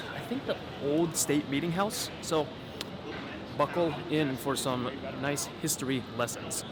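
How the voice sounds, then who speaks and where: A man is speaking, with ordinary pitch variation. Noticeable background noise is present. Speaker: travel vlogger. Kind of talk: travel vlog narration. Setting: outdoors walking in city. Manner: fast.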